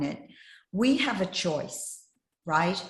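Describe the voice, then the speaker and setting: Somewhat breathy, a fairly low-pitched woman speaks at a fairly slow pace. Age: 60s. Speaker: life coach and trainer. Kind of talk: casual chat.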